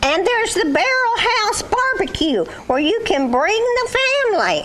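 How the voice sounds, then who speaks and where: An extremely high-pitched cartoonish character voice at a moderate pace, with clear background noise. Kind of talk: puppet skit comedy. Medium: puppet show. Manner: folksy, sing-song rhyming.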